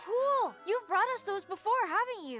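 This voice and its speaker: Over faint background music, a put-on character voice at an extremely high pitch speaks at a moderate pace. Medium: fan dub. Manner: excitable.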